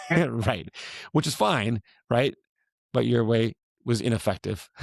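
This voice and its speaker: Recorded dry and close with no echo, the voice moves at a fairly slow pace with vocal fry, ordinary pitch variation and very even loudness. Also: man, medium pitch for a man. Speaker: fitness coach and podcast host. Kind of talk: casual podcast chat.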